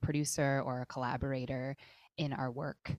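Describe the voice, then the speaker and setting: In a very clean recording with a silent background and a dry, close sound without echo, a woman speaks with an American accent at a very deep, low pitch. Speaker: music teacher and songwriter. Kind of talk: casual interview.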